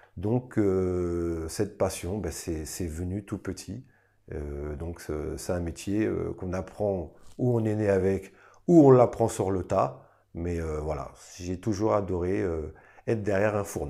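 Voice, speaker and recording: A man's very deep, low, dark and mellow voice at a very slow pace, with ordinary pitch variation and a quiet background. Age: 40s. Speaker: restaurant owner and cook. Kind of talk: interview testimony. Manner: hesitant, many fillers. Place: cafe.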